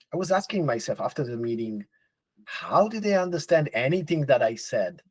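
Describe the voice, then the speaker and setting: With a non-native accent, this voice makes very wide pitch swings. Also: man. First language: not English. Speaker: podcast co-host. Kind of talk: casual chat.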